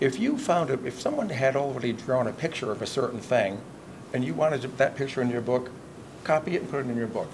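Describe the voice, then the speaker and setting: A man at a very fast pace, ordinary pitch variation, noticeable background noise behind him. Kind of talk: interview answer. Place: hall.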